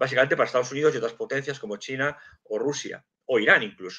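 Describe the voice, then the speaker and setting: A man's bright, sharp voice with lively intonation, against a quiet background. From Madrid, Spain; Spain. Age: 50s. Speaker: geopolitics and intelligence analyst, civil servant; guest. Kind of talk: live stream interview. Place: home room. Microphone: video call.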